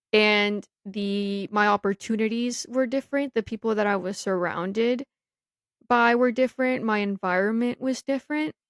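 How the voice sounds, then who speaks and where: A woman speaks at a moderate pace with an American accent, fairly high pitch and ordinary pitch variation. It is a normal speaking voice, recorded with a dry, close sound and no echo. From US (grew up there after moving from Mexico at two). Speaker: podcast co-host. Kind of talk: casual chat. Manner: casual, filler-heavy.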